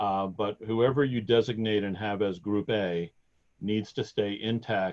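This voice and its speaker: Here a man talks at a fairly slow pace. His pitch is fairly low, and his intonation fairly even. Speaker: sports program official. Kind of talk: webinar Q&A. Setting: online webinar.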